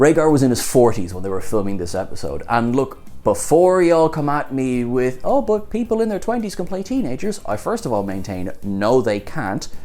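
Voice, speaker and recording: An animated man with an Irish accent, medium pitch, very wide pitch swings, a fairly quick pace and hardly any pauses, faint music in the background. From Ireland. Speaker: TV show reviewer. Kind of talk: video review commentary. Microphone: lapel.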